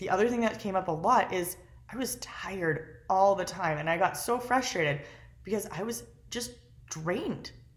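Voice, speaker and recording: At medium pitch and a moderate pace, a woman speaks in an animated tone with lively intonation. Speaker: lifestyle vlogger. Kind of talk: casual vlog monologue.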